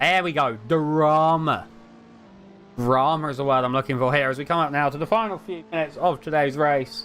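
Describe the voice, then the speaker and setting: The man's pitch is fairly high. He speaks at a fairly quick pace. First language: not English. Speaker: sim racing commentator. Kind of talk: live commentary. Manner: animated.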